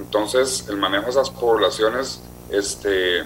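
A man is speaking here. Noticeable background noise runs behind him. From Costa Rica. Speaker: marine mammal specialist. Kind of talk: interview.

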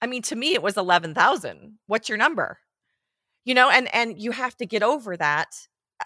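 A woman's lively, up-and-down delivery with a bright, sharp tone, recorded dry and close with no echo. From Switzerland. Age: 40s. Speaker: photographer and educator. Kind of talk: interview. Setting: studio.

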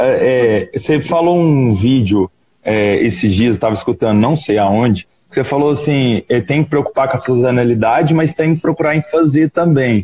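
Speaking at a moderate pace, a man with a medium-pitched voice uses lively intonation and very even loudness in an ordinary speaking voice. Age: 20s. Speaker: small business owner. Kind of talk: casual chat.

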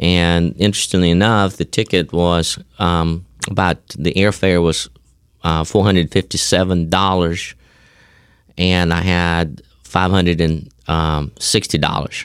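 At a fairly slow pace, a man talks in a very deep, low pitch with monotone, flat intonation and very even loudness. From former Soviet Union. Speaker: seminary professor. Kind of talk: interview conversation. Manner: halting, with fillers.

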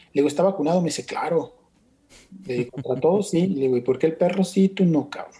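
With a Mexican accent and a dark, mellow tone, the speaker goes at a very fast pace with ordinary pitch variation. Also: man, high pitch for a man. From Mexico, Michoacán (Uruapan). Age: 50s. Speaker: concert promoter. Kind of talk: interview conversation.

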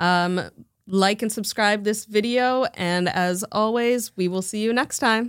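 A woman with a fairly high pitch talks at a fairly slow pace in a plain, everyday voice. Her intonation is fairly even, and the recording is very clean with a silent background. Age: 20s. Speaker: marketing coordinator. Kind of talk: casual chat.

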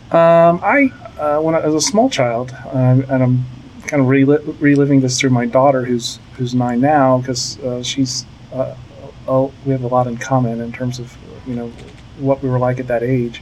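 Noticeable noise sits behind a man speaking at a moderate pace. His pitch is medium and his intonation fairly even. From Virginia Beach, Virginia, US. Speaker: PR and marketing agency head. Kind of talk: interview. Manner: halting, many fillers.

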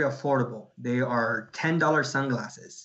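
A man speaks at a fairly high pitch. Audible room echo colors the recording. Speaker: DACA recipient, campaign organizer and entrepreneur. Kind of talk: interview.

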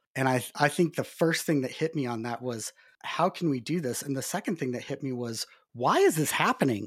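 On a very clean recording with a silent background, a man speaks with an American accent at a fairly quick pace. He has an ordinary speaking voice, medium pitch and ordinary pitch variation. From Montana, US. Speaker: nonprofit technology consultant. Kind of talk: casual interview.

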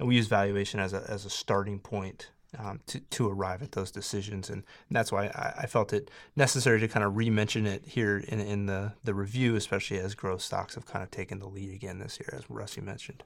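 A man talks in a normal speaking voice, fairly low in pitch and at a fairly quick pace. His intonation stays fairly even on a very clean recording with a silent background. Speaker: portfolio manager. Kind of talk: casual chat.

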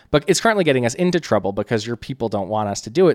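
A man with an American accent and lively intonation, in a very clean, dry, close recording with no echo and a silent background. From central New Jersey. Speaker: political strategist. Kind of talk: casual interview chat. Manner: fast-talking; animated.

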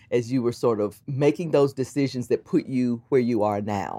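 A woman's dark, mellow tone in a very clean recording with a silent background. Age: 60s. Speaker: podcast host. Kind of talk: interview conversation.

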